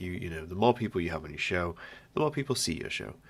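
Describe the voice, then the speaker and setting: Speaking with a British accent, a man talks at a very deep, low pitch. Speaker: podcast host. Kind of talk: casual solo monologue. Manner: rambling, halting.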